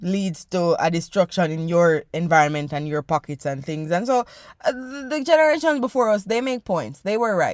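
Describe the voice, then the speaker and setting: A woman with a fairly low voice speaks in an animated tone with very wide pitch swings. The recording is very clean and dry, close with no echo and a silent background. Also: moderate pace. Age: 20s. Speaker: podcast host. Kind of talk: casual monologue.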